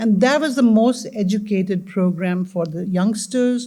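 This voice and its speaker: Somewhat breathy and dark, mellow in tone, this woman talks at a fairly slow pace with ordinary pitch variation. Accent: slight Indian. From India. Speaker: community panelist. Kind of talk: panel discussion.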